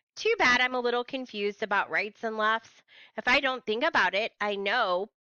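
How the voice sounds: A natural reading voice carries the text.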